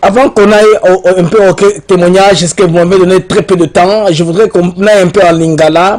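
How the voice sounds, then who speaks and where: High-pitched male speech with ordinary pitch variation, moving at a fairly quick pace. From DR Congo. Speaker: journalist interviewer. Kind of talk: interview.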